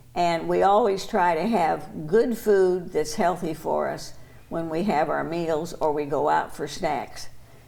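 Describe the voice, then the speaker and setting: A woman speaks at a fairly slow pace with a fairly low pitch and ordinary pitch variation. Audible room echo is present. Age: 80s+. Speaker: longtime association member. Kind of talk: interview answer.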